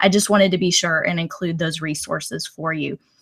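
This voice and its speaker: A woman's fairly low, monotone voice with flat intonation, at a fairly quick pace, in a Texan accent. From Texas. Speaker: educator, former teacher. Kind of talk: webinar presentation. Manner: loud.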